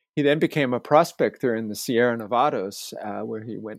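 A man with a plain, everyday voice at medium pitch and a moderate pace, on a very clean recording with a silent background and a dry, close sound with no echo. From US, Staten Island, New York City. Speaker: landscape geographer, professor. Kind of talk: interview.

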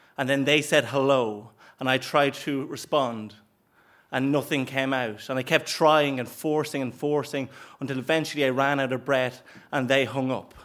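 A man with an Irish accent speaks at a moderate pace and a fairly high pitch. The recording is very clean, with a silent background. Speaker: comedian. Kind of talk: live storytelling. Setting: stage with audience.

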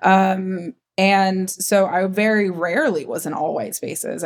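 In an American accent, a woman with a plain, everyday voice speaks at a fairly slow pace with fairly even intonation. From US Midwest, Ohio. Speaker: media producer, production company co-founder. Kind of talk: interview conversation.

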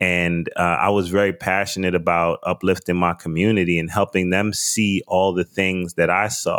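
In a New York accent, a man speaks at a moderate pace with a very deep, low pitch. His intonation is monotone and flat, and his loudness stays very even. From US, the Bronx, New York. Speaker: wine importer and podcast host. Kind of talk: interview.

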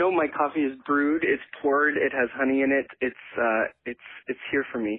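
This man speaks in a Canadian accent at a moderate pace. His voice is fairly high, and his intonation is fairly even. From western Canada, Edmonton, Alberta. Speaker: writer, artist and activist. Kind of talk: casual interview. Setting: phone call.

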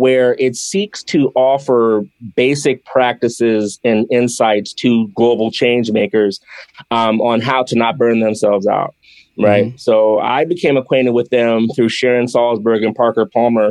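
A man speaks at a fairly slow pace with a medium pitch. The sound is dry and close, with no echo. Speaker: yoga teacher and activist. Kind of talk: interview. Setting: video call. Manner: animated.

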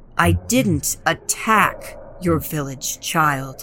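In a put-on character voice, a woman speaks with a very deep, low pitch and a solemn tone at a very slow pace. Background noise is clearly audible. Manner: insulted, hurt, solemn.

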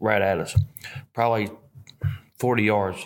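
In a Southern US accent, a man talks at a medium pitch. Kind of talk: hunting story in casual chat.

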